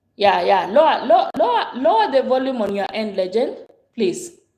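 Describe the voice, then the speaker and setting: With lively intonation, a woman speaks amid audible room echo. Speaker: pastor. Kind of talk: casual chat. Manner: loud.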